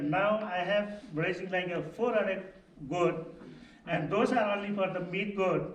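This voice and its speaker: A high-pitched man's voice at a fairly slow pace, with ordinary pitch variation, noticeable background noise and audible room echo. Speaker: goat farmer. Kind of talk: panel discussion. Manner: halting, many fillers.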